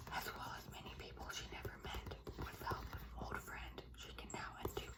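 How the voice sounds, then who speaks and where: Noticeable background noise fills the recording. Over it, a woman whispers. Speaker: ASMR creator. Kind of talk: book synopsis reading. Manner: whispered.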